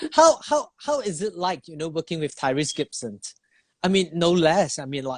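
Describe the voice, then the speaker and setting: A man with a non-native accent speaks at a moderate pace and a high pitch, the sound dry and close with no echo. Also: ordinary pitch variation, big swings in loudness. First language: not English. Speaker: live stream host. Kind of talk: interview on Instagram live. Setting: Instagram live video stream. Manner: halting.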